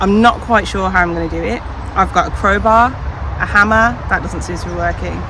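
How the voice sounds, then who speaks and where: A woman talks at a fairly quick pace. There is noticeable background noise behind her. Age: 40s. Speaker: allotment gardener. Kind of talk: casual talk to camera. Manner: frustrated, rambling.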